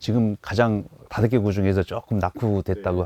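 Dry and close with no echo, a man's fairly low voice carries a dark, mellow tone. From Daejeon, Chungcheong (South Korea). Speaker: election candidate, former prosecutor. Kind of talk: radio interview. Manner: halting with many fillers.

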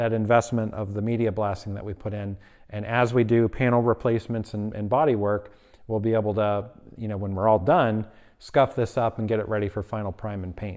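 In quiet surroundings, a man with a normal speaking voice talks at a fairly quick pace, fairly low in pitch and with fairly even intonation. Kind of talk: tutorial. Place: garage. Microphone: phone near.

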